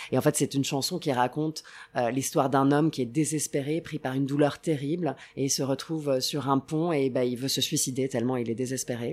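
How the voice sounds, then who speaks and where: The speech goes at a fairly quick clip. Its intonation shows little rise and fall, staying fairly even. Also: woman, very deep, low pitch for a woman. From Italy, Rome. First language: Italian (speaking French). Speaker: travel TV presenter. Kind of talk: casual interview.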